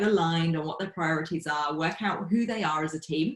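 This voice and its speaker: A woman with a British accent and a fairly low pitch. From UK. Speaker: facilitator and team coach. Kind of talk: podcast interview.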